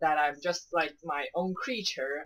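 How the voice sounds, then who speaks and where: The speaker is a woman with a non-native accent. She talks at a moderate tempo. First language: not English. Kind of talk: casual talk to camera.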